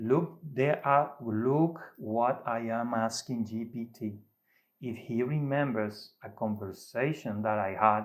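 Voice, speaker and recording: On a very clean recording with a silent background, a man with a non-native accent speaks very slowly at a medium pitch with ordinary pitch variation. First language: Spanish. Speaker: AI method developer, tech YouTuber. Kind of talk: tutorial demonstration. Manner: halting.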